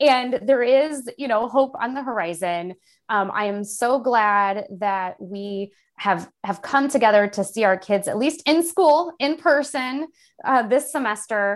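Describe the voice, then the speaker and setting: In a Midwestern American accent, a woman speaks fairly slowly with lively intonation. The recording is very clean, its background silent. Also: fairly high pitch for a woman. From central Illinois. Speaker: staff attorney and labor policy expert. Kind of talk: podcast interview.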